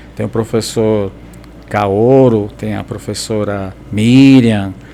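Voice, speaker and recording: Over noticeable background noise, a man speaks very slowly at a fairly low pitch, his intonation fairly even. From São Caetano do Sul, greater São Paulo, Brazil. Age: 60s. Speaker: teacher and activist. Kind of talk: podcast interview.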